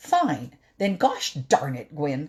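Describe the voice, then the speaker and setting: A low-to-middle pitch carries the put-on character voice. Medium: read story. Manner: excitable.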